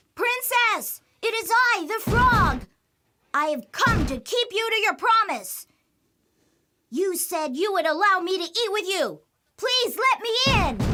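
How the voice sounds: An extremely high-pitched cartoonish character voice at a fairly slow pace, broken by long, frequent pauses.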